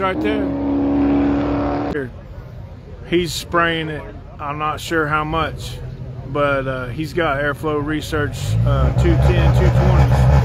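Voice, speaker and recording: Over loud background noise, a man speaks at a very slow pace with very wide pitch swings and a dry sound with no echo. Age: 50s. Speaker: drag racing vlogger. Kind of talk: casual chat. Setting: outdoors. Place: stadium. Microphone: phone near.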